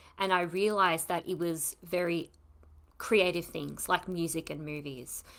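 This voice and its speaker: On a very clean recording with a silent background, a woman with an ordinary speaking voice talks at a fairly low pitch and a fairly slow pace, with fairly even intonation. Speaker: podcast host. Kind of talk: casual chat.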